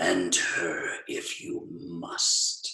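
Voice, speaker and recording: A man puts on a character voice. It is raspy and extremely high-pitched. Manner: ominous.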